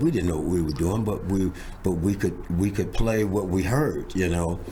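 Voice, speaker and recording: Over noticeable background noise and audible room echo, a man with a very deep, low pitch speaks at a moderate pace. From Los Angeles (South Central), US. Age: 70s. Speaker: drummer. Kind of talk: interview storytelling. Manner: animated, repetitive fillers.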